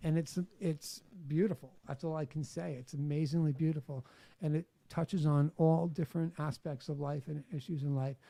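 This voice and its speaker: In a New York accent, a man speaks at a moderate pace with a fairly high pitch, a dark, mellow tone and fairly even intonation. His voice is somewhat breathy on a very clean recording with a silent background. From New York City, Staten Island. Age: 50s. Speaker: author. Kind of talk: podcast interview.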